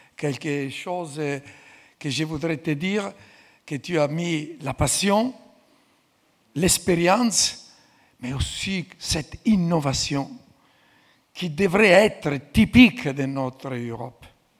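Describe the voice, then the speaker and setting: A man with a fairly high pitch speaks at a very slow pace. His intonation is lively, and he takes long, frequent pauses. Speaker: institute president. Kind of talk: closing speech.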